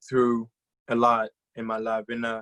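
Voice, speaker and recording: Someone with a Congolese accent speaks at a fairly slow pace in a dry, close recording with no echo. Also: man. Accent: Congolese French-speaking. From DR Congo. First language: French. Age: 20s. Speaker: guest speaker. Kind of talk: motivational talk.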